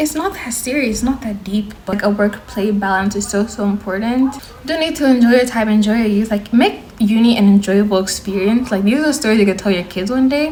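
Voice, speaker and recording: With an American accent, a woman speaks at a fairly quick pace with hardly any pauses, in a fairly high voice with ordinary pitch variation. There is noticeable background noise. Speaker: university student and vlogger. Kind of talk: casual vlog advice. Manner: fast; animated.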